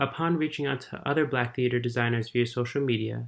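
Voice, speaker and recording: A man with an American accent speaks at a fairly quick pace in a medium pitch. The recording is very clean, with a silent background. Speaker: lighting design student. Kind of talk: prepared testimony. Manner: formal.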